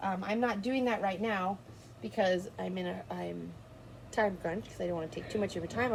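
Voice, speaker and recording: Clear echo from the room follows a woman as she talks. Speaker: art teacher. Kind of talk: tutorial.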